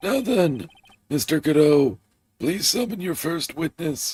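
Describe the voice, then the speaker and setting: A man's put-on character voice, fairly high in pitch, with very wide pitch swings and a fairly slow pace. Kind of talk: formal, courtroom authority.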